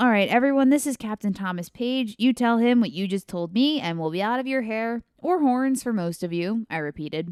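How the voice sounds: Lively intonation in a natural reading voice.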